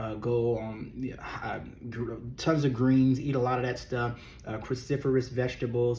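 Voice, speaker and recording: In a Texas accent, a man speaks fairly slowly at a medium pitch, his dark, mellow tone somewhat breathy, with audible room echo. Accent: southern US (Texas). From Texas (raised in Beaumont, born Louisiana). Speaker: weight loss coach and former worship pastor. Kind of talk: casual vlog monologue. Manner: animated.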